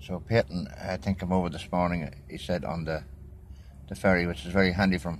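Over light background noise, a man speaks at a moderate pace with a very deep, low pitch and vocal fry. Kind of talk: casual commentary. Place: car. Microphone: phone near.

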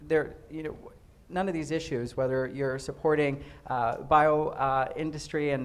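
A man with an American accent speaks at a moderate pace in a fairly high pitch, his intonation flat and monotone. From Tucson, Arizona; Arizona. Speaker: state representative; state legislator on panel. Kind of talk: panel discussion. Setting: stage with audience. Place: hall. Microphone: handheld.

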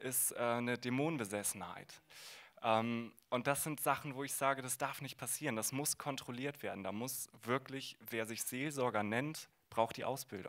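Against a quiet background, a man talks at a fairly slow pace and medium pitch, with fairly even intonation. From northern Germany, Bremen; Germany. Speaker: former conversion therapy participant; guest. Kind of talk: panel discussion. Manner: hesitant, many fillers. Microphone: handheld.

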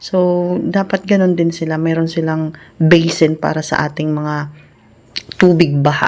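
Against noticeable background noise, a woman talks at a fairly slow pace in a fairly low pitch, her intonation monotone and flat. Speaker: cooking vlogger. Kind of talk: casual cooking vlog voice-over. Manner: chatty, with frequent fillers.

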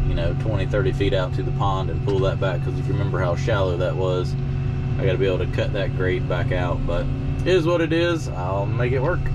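Loud background noise runs behind a man talking at a fairly quick pace. His pitch varies in an ordinary way. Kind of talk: casual vlog commentary. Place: farm machine.

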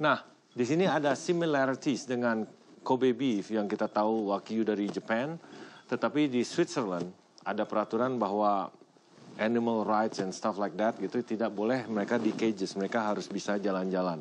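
Over light background noise, a man talks at a fairly quick pace. His loudness stays very even, and his pitch variation is ordinary. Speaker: TV host. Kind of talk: presenter explanation to camera. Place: farm machine.

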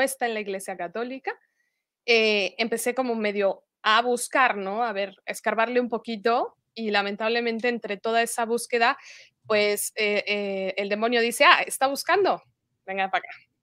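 With a Mexican accent, a woman talks at a moderate pace in a bright, sharp tone and a fairly high pitch, the sound dry with no echo and the background quiet. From Mexico (Morelia, Michoacán); Michoacán, Mexico. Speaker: religious convert sharing testimony; interview guest. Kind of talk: testimony. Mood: earnest, reflective. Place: home room.

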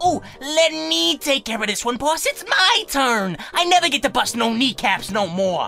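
A put-on character voice, raised and projected, moves at a moderate pace with very wide pitch swings while clear music plays in the background. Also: man, extremely high pitch for a man. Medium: voice reel.

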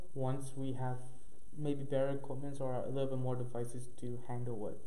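In monotone, flat intonation, a man speaks at a moderate pace. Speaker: podcast host. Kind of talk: casual podcast chat. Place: home room. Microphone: camera far.

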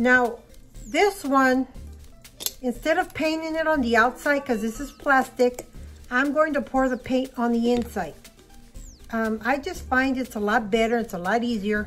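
A woman's high-pitched voice at a moderate pace, with ordinary pitch variation, long, frequent pauses and faint music in the background. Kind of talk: casual craft tutorial chat. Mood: friendly, relaxed. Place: home room. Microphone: phone near.

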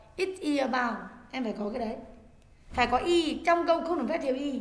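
A woman with a high pitch talks at a fairly quick pace with lively intonation. There is audible room echo. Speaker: English teacher. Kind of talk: lecture.

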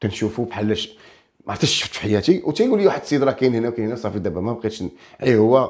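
Against a quiet background, a man speaks very fast at a medium pitch. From Morocco, Kelaat Sraghna; Morocco. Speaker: folk singer and comedian; comedian. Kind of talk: casual interview. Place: studio. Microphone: lapel.

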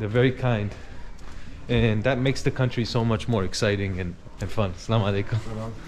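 Fairly even intonation and a fairly quick pace mark this voice with an American accent, heard over light background noise. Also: man, fairly low pitch for a man. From US, New York. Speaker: travel vlogger. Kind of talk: travel vlog narration. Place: street. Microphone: phone near.

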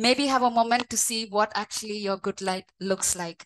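Intonation is fairly even. The delivery keeps a fairly slow pace. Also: woman. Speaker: session host. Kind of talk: talk introduction. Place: office. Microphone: video call.

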